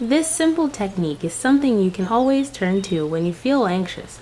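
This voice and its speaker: Over noticeable background noise, a woman with a fairly high pitch speaks in a soothing tone. Her pitch swings very widely, and her pace is moderate. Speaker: meditation guide. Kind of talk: guided meditation. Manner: calm.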